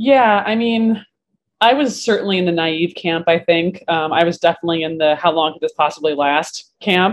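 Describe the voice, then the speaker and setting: In an American accent, a woman with a plain, everyday voice speaks at a moderate pace in a fairly low pitch. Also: ordinary pitch variation. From Vermont, US. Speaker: bartender and bar owner. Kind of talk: casual interview chat.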